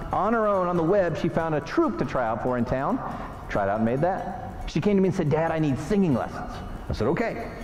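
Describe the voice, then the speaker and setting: Music plays in the background as the voice moves at a fairly quick pace. Its pitch swings very widely. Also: man. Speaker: motivational speaker. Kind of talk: keynote speech to an audience.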